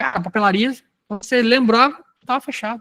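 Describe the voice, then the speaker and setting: In a dry, close recording with no echo, a man's voice carries ordinary pitch variation. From Rio de Janeiro state interior, Brazil. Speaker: sales trainer. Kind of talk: training lecture. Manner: conversational, animated; lowers voice to dramatize in role-play.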